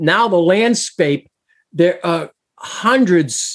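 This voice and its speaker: A man's high-pitched voice with lively intonation. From Massachusetts. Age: 60s. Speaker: abuse survivor advocate and singer-songwriter. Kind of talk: interview.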